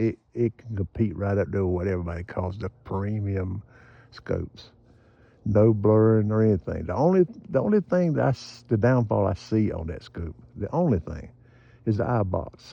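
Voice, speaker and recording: This man talks at a moderate pace in an ordinary speaking voice, fairly low in pitch with ordinary pitch variation. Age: 60s. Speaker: gun and scope reviewer. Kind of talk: casual vlog talk.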